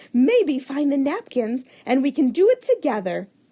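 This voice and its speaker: A woman's put-on character voice, high-pitched, with very wide pitch swings and very even loudness. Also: moderate pace. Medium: read story. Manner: warm, brisk.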